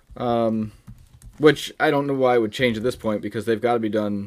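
Fairly even intonation marks this man's speech. He has a plain, everyday voice and moves at a fairly quick pace. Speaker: podcast host. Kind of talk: casual chat. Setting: remote recording over internet.

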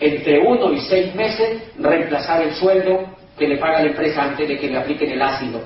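A man with a fairly high pitch talks at a moderate pace. There is audible room echo and noticeable background noise. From Colombia, Cali. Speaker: business opportunity presenter. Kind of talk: sales pitch.

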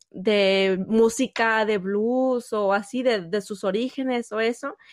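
Over a quiet background, a woman speaks at a fairly high pitch. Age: 30s. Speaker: podcast co-host. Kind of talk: casual chat.

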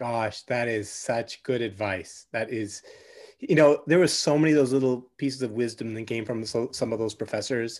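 A man with a normal speaking voice, medium pitch, ordinary pitch variation, moderate pace and a Canadian accent. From Canada, Vancouver. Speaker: podcast host and business coach. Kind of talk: casual interview chat.

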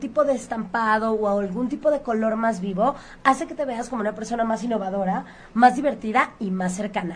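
A woman with a Mexican accent speaks at a fairly quick pace. Her pitch is fairly high, with ordinary variation. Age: 30s. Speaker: image consultant. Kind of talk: radio interview.

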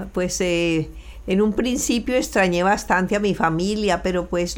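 A woman speaks at a medium pitch and a fairly slow pace with ordinary pitch variation. Noticeable background noise can be heard. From Colombia, Valle del Cauca (Buga/Cali). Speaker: immigrant mother. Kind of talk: interview. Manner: halting, repeats words.

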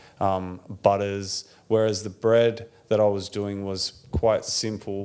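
The speech comes at a very slow pace in an Australian accent. Its pitch variation is ordinary. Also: man. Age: 30s. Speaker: bakery owner. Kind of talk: interview. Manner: casual.

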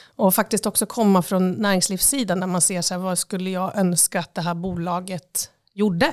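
A woman speaks in an ordinary speaking voice at a medium pitch and moderate pace. The recording is very clean, with a silent background. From Östersund, Jämtland, Sweden. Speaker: tourism agency CEO. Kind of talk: interview. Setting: office.

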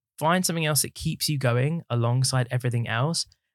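Speaking fairly quickly with a southern English accent and ordinary pitch variation, a man comes through on a very clean recording with a silent background and a dry, close sound with no echo. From southern England, Watford. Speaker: musical theatre actor and headshot photographer. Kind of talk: casual chat. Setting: studio.

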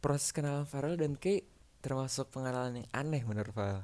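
In a very clean recording with a silent background, the words arrive at a fairly quick pace. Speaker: amateur storyteller. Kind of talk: storytelling narration. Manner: halting.

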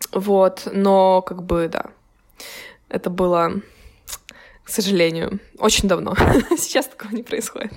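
A woman with a slight Ukrainian accent speaks fairly slowly at a medium pitch, with fairly even intonation, big swings in loudness, and long, frequent pauses. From Ukraine. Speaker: university student. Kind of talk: casual chat.

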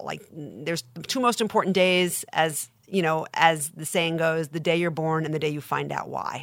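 In an American accent, a woman with a fairly low pitch speaks at a moderate pace in an ordinary speaking voice. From Long Island, New York. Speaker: literary agent. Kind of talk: interview.

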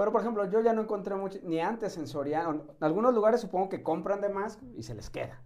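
Talking at a very fast pace with hardly any pauses, a man uses a high pitch and ordinary pitch variation. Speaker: doctor. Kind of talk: casual chat.

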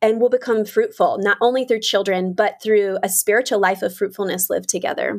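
In an American accent, a woman with an ordinary speaking voice talks fairly quickly at a fairly high pitch, with ordinary pitch variation and hardly any pauses. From US South. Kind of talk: interview conversation.

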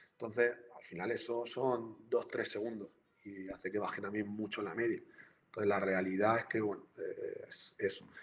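Intonation stays monotone and flat at a moderate pace. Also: man, fairly low pitch for a man. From Murcia, Spain. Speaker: university lecturer and researcher. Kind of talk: live-streamed interview.

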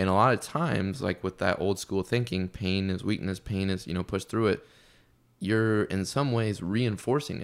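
A man's normal speaking voice in an American accent, fairly low in pitch with ordinary pitch variation, at a moderate pace, in a very clean recording with a silent background. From US Midwest. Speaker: fitness coach. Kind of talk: casual chat.

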